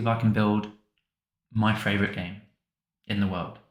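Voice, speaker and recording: A man's fairly low voice with audible room echo. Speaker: hobbyist game developer. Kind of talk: casual vlog talk to camera. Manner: mumbling, not clearly articulated; hesitant, with fillers and repeats.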